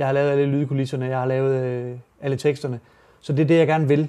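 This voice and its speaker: Talking at a very fast pace, a man uses a fairly high voice with a dark, mellow tone and monotone, flat intonation. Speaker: rapper. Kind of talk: interview answers. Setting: studio. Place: studio. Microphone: lapel.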